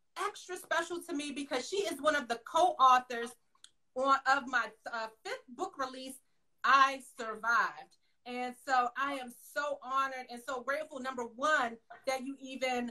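A woman's raised, projected voice, bright and sharp in tone, at a moderate pace with ordinary pitch variation and big swings in loudness, over a quiet background. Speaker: podcast host. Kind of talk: interview introduction. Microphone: video call.

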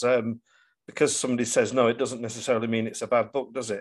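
Against a quiet background, a man talks very fast at a medium pitch. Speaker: priest and podcast host. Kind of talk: interviewer questions.

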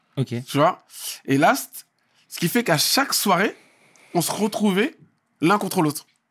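High-pitched, a man talks at a moderate pace with very wide pitch swings. The background is quiet. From France, Val-d'Oise (Paris suburbs); France. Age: 40s. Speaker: dancer and choreographer; guest, MC. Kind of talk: casual interview. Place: studio. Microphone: studio mic.

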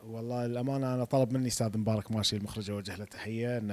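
A man is talking. The intonation stays fairly even. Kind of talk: interview answer. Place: hall. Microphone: handheld.

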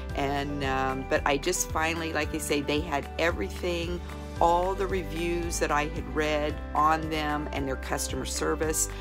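Clear music plays behind the speech. A woman talks at a fairly slow pace. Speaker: customer giving product review. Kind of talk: testimonial interview answer. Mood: warm, enthusiastic. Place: home room. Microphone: phone near.

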